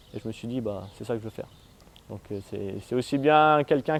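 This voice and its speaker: A man's voice sits at a medium pitch. He speaks at a fairly quick pace. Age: 20s. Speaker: mountain bike trials champion. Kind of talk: interview answers. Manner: hesitant, with fillers.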